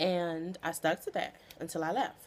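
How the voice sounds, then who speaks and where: A woman speaks with a fairly low voice. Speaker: weight loss vlogger. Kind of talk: casual vlog monologue. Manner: halting, stuttering.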